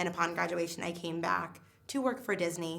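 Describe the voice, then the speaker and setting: Room echo can be heard on the recording. The speaker talks fairly quickly. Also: woman. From New England. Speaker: theme park guest relations worker. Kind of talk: interview testimony. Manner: fast.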